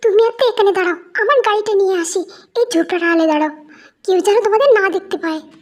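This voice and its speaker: A woman puts on a character voice pitched extremely high. She talks at a fairly quick pace. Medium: audio drama.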